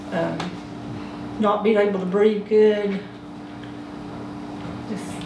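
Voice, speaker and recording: Speaking very slowly with an Appalachian accent, a woman leaves long, frequent pauses over noticeable background noise. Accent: Southern US, Appalachian North Carolina. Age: 60s. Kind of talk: interview answer. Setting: home.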